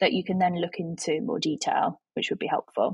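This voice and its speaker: Speaking at a fairly quick pace, a woman with a Yorkshire accent has a medium pitch and a somewhat breathy sound. The audio is dry and close, with no echo. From Yorkshire, England. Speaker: photography educator. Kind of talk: interview conversation.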